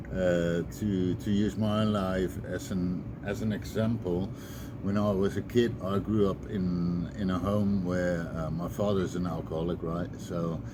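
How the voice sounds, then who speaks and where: At a fairly slow pace, a man speaks in a very deep, low pitch with ordinary pitch variation and audible room echo. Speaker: recovering addict sharing advice. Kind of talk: personal talk to camera, testimony. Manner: halting, many fillers.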